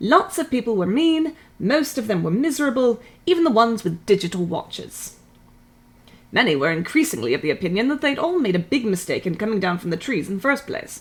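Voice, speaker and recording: A woman's fairly high, somewhat breathy voice at a fairly quick pace, with very wide pitch swings. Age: 30s. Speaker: streamer reading books aloud. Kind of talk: reading aloud. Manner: put-on British accent for the reading.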